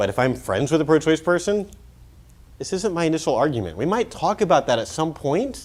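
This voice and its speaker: A man with an American accent and lively intonation. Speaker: pro-life speaker. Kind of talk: conference talk. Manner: casual, filler-heavy; fast.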